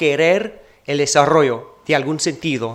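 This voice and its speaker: A man is speaking. He has a non-native accent. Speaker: keynote speaker, academic researcher. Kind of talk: conference keynote lecture. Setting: university auditorium with audience. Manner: halting, with self-corrections.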